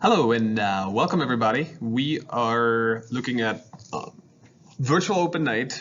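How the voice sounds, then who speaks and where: A man with a German accent speaks with ordinary pitch variation. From Germany, Hanover. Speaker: high school math teacher. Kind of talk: virtual open house presentation.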